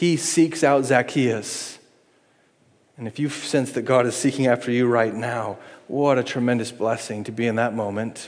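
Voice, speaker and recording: A man talks in a normal speaking voice at medium pitch and a moderate pace. His intonation is fairly even. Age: 40s. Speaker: pastor. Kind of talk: sermon.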